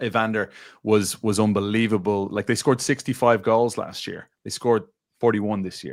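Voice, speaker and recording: In a strong Irish accent, a man speaks fairly quickly at a fairly low pitch with monotone, flat intonation, on a very clean recording with a silent background. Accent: thick Irish. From Ireland, Dublin. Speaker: football pundit. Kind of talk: casual chat. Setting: studio.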